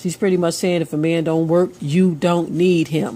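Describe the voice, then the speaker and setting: A woman's unremarkable speaking voice, fairly low in pitch, at a fairly slow pace. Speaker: religious commentator. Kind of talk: casual commentary to camera.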